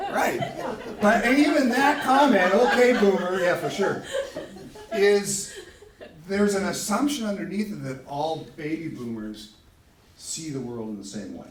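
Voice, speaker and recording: A man at a high pitch with very wide pitch swings and big swings in loudness, a fairly slow pace with long, frequent pauses, audible room echo and noticeable background noise. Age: 60s. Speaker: sociologist giving a talk. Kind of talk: lecture. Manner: casual, self-correcting.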